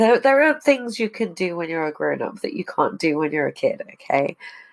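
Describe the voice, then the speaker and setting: With an English accent, a woman speaks at a moderate pace. Her voice has vocal fry and very wide pitch swings. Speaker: podcast host. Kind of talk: casual chat.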